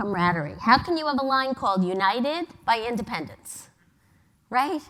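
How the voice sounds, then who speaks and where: A woman's high, bright, sharp voice in a New York accent, with very wide pitch swings and a fairly quick pace. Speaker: advertising agency executive. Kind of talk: conference talk. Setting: stage with audience.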